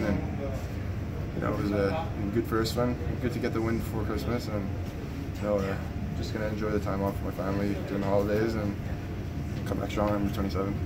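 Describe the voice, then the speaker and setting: Very fast speech from a man amid loud background noise. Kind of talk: interview answer. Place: hall. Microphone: phone near.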